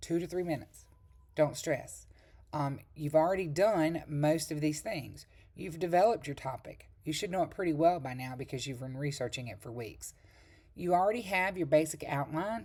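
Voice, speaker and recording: A dark, mellow tone carries this voice along at a moderate pace. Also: woman, very deep, low pitch for a woman, lively intonation. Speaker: college instructor. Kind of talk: recorded lecture. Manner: casual, with filler ums.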